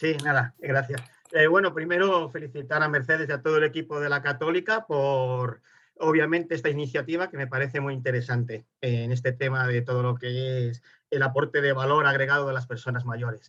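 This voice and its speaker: A man with a Spanish accent talks at a fairly quick pace in a fairly high pitch, his intonation fairly even. His tone is bright and sharp over a quiet background. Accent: Spanish (Spain). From Spain. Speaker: webinar participant. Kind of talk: audience question in webinar.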